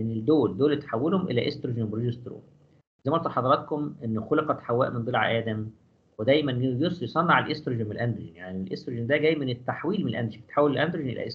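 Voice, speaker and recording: A man talks at a very fast pace in a medium pitch with ordinary pitch variation. Room echo is audible. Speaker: physiology professor. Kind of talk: lecture.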